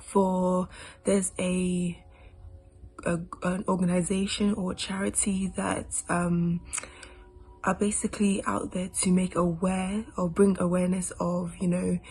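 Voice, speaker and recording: Over noticeable background noise, a woman of medium pitch speaks fairly slowly in a flat, monotone way, leaving long, frequent pauses. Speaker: spoken word poet. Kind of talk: casual talk to camera.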